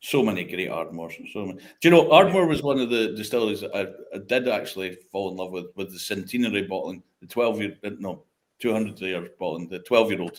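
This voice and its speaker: Here a man speaks very fast in a northeast Scottish accent. His pitch is fairly low, with ordinary pitch variation. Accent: broad northeast Scottish. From Scotland, Speyside (Craigellachie). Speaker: whisky industry veteran and independent bottler. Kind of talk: casual chat.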